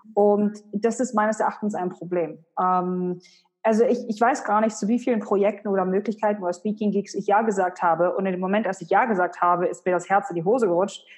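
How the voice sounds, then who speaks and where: Over music in the background, a woman talks at a fairly quick pace with fairly even intonation. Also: medium pitch for a woman. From Germany, Hannover. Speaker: personal branding expert and author. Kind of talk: interview.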